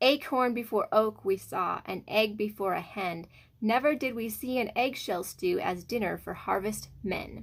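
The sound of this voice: The reading voice sounds unforced. Pitch shifts by a normal amount.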